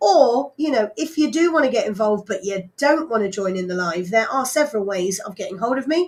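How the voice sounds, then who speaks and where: Loud and fairly quick, a woman speaks with a fairly high pitch that swings very widely. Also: hardly any pauses. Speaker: radio DJ. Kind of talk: live radio DJ chat. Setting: radio studio, livestreamed. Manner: hesitant, many fillers.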